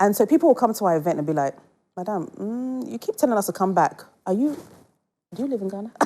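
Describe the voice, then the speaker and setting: Very fast but broken by long, frequent pauses, a woman's medium-pitched voice with a British accent has a dark, mellow tone and very wide pitch swings. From England. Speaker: entrepreneur. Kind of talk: casual chat.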